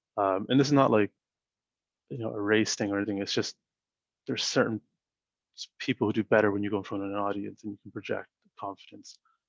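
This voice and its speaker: A soft-spoken man at a fairly low pitch and a very fast pace, with fairly even intonation, in a dry, close sound with no echo against a quiet background. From Canada. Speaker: startup founder and CEO. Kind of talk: interview. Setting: video call. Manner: even-keeled.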